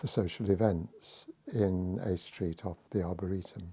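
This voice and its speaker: The speaker is a man with a very deep, low voice and a dark, mellow tone. He talks at a fairly slow pace. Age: 80s+. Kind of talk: oral history interview. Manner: halting.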